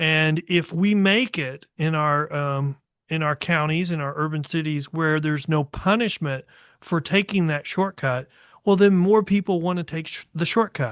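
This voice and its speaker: A fairly high-pitched man at a moderate pace with ordinary pitch variation, in a dry, close sound with no echo and a quiet background. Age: 60s. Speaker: podcast host. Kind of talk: casual chat. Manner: halting.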